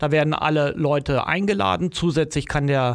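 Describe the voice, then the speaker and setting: The recording is very clean, with a silent background. A man talks at a moderate pace and a fairly high pitch. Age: 50s. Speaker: project manager. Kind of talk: interview. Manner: hesitant with fillers.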